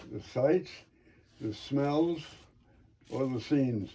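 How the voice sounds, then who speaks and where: This man has an American accent and a somewhat breathy voice. He talks at a fairly slow pace with ordinary pitch variation. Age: 80s+. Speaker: Navy veteran, trained in pharmacy. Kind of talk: interview answer.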